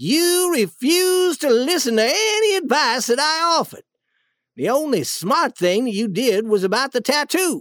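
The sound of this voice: This put-on character voice moves at a fairly slow pace, with big pitch swings and a fairly bright tone.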